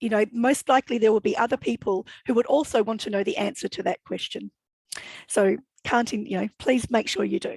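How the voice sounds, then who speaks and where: A woman's fairly high voice with vocal fry, ordinary pitch variation and a fairly quick pace. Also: dry, close sound with no echo. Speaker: education consultant and academic. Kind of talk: workshop presentation. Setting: video call. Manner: fast when excited.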